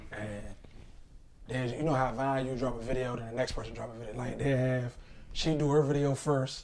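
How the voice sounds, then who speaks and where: A man's dark, mellow voice at medium pitch, monotone and flat, at a moderate pace. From Washington DC. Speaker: comedian. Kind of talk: casual chat.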